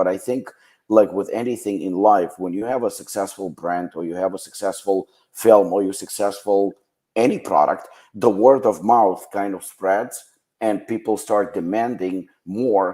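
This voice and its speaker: With a Ukrainian accent, a man talks at a moderate pace in a fairly low pitch, his tone dark and mellow and his intonation fairly even. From western Ukraine. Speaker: supplement brand founder. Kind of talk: podcast interview.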